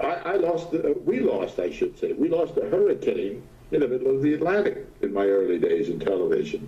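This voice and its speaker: A man with an American accent at very even loudness, amid noticeable background noise. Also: fairly quick pace. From New York City (Brooklyn). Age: 90s. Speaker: retired TV weatherman. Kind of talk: interview. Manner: halting.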